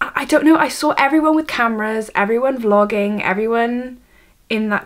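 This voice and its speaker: A speaker with a Welsh accent talks at a moderate pace, with ordinary pitch variation. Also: woman. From Wales. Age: 18. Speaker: vlogger, university student. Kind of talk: vlog, casual talk to camera. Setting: bedroom, camera on tripod. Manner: halting, many fillers and restarts.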